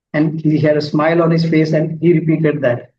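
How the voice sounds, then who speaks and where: A man with a high pitch and a dark, mellow tone speaks at a moderate pace. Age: 60s. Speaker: eye doctor. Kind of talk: interview.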